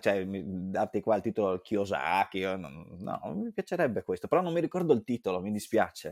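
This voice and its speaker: A man speaks at a moderate pace with hardly any pauses, his fairly low pitch moving in a lively way over a dry, close sound with no echo on a very clean recording with a silent background. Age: 30s. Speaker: event organizer and marketer. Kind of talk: interview. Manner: halting.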